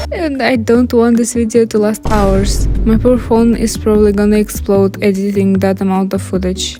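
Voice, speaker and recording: With music in the background, a woman in a Russian accent speaks with hardly any pauses and very even loudness. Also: moderate pace. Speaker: art youtuber. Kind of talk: speedpaint commentary.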